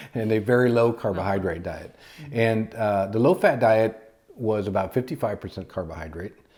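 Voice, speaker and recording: Ordinary pitch variation and a moderate pace in a plain, everyday voice. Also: man, fairly low pitch for a man. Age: 60s. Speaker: doctor and diet channel co-host. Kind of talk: casual educational chat.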